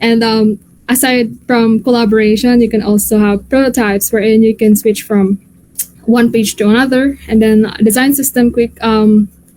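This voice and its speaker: A woman's fairly high voice with a dark, mellow tone, at a moderate pace, very even in loudness and flat, monotone in intonation. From Philippines, Bohol. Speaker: UI/UX designer, event speaker. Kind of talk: tutorial talk. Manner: casual, hesitant with many fillers.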